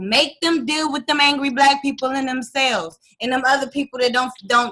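A woman's high, bright and sharp voice, raised and projected, with an American accent, ordinary pitch variation and a moderate pace. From DMV area (Washington DC region). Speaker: author and former singer. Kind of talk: interview. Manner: passionate, heated at times.

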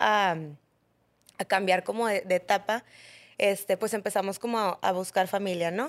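A woman with a plain, everyday voice talks at a moderate pace with fairly even intonation on a very clean recording against a silent background. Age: 30s. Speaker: mother sharing pregnancy loss, entrepreneur. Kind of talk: testimony.

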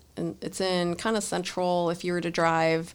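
With a plain, everyday voice, a woman speaks at a fairly low pitch and moderate pace, her intonation fairly even, with an American accent. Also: very clean recording, silent background. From Los Angeles, California. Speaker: Marine Corps officer and computer science graduate student. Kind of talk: casual interview.

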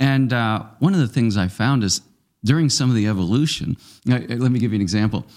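A man talks at a fairly quick pace in an ordinary speaking voice, with ordinary pitch variation and very even loudness. The recording is very clean, with a silent background. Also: medium pitch for a man. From Nova Scotia, Canada. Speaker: parish ministry leader. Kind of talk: casual chat.

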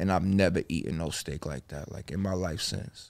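On a very clean recording with a silent background, a man with an American accent speaks in a plain, everyday voice at a fairly low pitch. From New Jersey, Bergen County. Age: 30s. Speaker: rapper. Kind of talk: casual chat.

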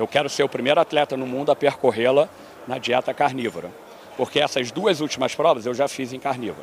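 Here is a man with an unremarkable speaking voice and a medium pitch. He moves along at a fairly quick pace, his pitch varying in an ordinary way. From Brazil, Rio de Janeiro. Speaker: endurance athlete. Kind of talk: interview. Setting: conference venue.

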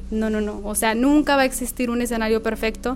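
Music plays in the background. The voice is monotone and flat, delivered at a very fast pace. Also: woman. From northern Mexico, Nuevo Laredo. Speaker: magazine founder and editor. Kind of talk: casual interview.

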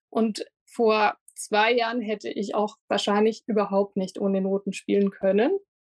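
A woman's fairly high voice at a moderate pace, flat and monotone, with a dry, close sound and no echo. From Lindau, Lake Constance, Bavaria. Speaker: harpist. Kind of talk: interview.

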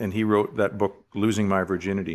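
The speaker has a Western Canadian accent. The recording is very clean, with a silent background. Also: man. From Canada, Richmond, British Columbia. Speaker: business executive. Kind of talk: interview.

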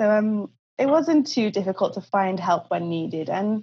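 A woman with a Cardiff accent sounds somewhat breathy at medium pitch. She moves at a moderate pace with lively intonation. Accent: Welsh English (Cardiff). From Wales, Cardiff. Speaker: podcast guest, traveller. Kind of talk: interview.

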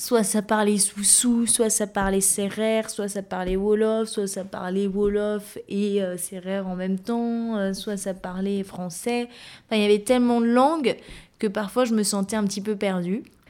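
Speaking at a fairly slow pace, a woman uses a medium pitch and a dark, mellow tone with monotone, flat intonation. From Guinea (Guinean heritage). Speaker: specialized educator. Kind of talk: interview testimony. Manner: halting, frequent hesitations.

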